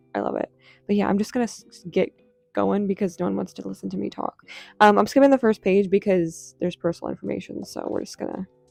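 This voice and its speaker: Music plays behind a woman whose loudness swings widely, the sound dry and close with no echo. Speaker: artist. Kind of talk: casual talk to camera. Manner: stuttering, rambling.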